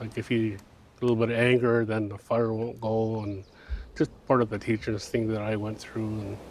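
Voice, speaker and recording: A man talks at a medium pitch and moderate pace. His intonation is monotone and flat. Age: 60s. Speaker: knowledge keeper. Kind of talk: interview testimony. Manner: casual, halting with fillers.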